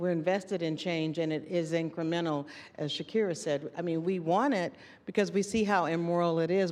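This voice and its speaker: A woman with an American accent speaks in an ordinary speaking voice, fairly low in pitch, at a moderate pace with ordinary pitch variation. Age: 60s. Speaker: university administrator and panelist. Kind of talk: panel discussion.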